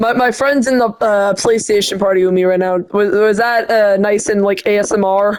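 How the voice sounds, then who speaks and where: Hardly pausing, a woman speaks at a moderate pace and medium pitch, with very even loudness and fairly even intonation. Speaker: gaming streamer. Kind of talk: gameplay commentary. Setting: PlayStation party voice chat. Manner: soft-spoken.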